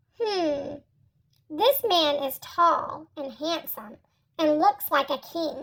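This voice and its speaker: Very slowly and at a high pitch, someone performs in a put-on character voice. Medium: read story.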